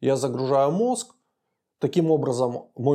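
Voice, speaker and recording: A man speaks with a dark, mellow tone at a medium pitch. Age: 40s. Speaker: podcast co-host, father and businessman. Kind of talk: casual chat.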